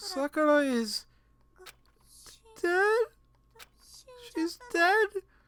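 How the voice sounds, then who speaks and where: A shaky, extremely high-pitched, put-on character voice. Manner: trembling, shocked.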